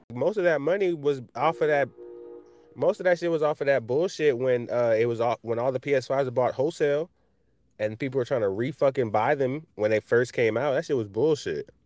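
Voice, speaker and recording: With music in the background, a man speaks at a fairly quick pace and medium pitch, with ordinary pitch variation, very even loudness, and a dry, close sound with no echo. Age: 20s. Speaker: podcast host. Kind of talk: casual chat.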